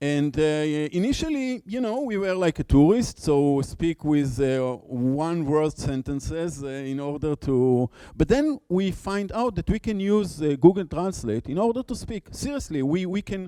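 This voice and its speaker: With a non-native accent, a man speaks at a fairly slow pace and a fairly high pitch, using lively intonation and hardly any pauses, in a dry, close sound with no echo. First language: Hebrew. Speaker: conference speaker, education researcher. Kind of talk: conference talk. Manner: halting, many fillers and repetitions.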